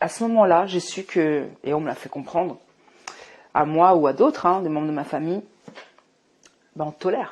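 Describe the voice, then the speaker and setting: At a moderate pace, a woman with a fairly low pitch and ordinary pitch variation shows big swings in loudness and long, frequent pauses. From Morocco. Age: 40s. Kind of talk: testimony. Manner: halting, many fillers.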